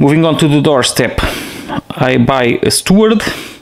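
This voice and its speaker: A man with a non-native accent speaks at a fairly slow pace. Audible room echo and noticeable background noise are present. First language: not English. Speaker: board game player showing gameplay. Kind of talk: solo board game playthrough tutorial. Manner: halting.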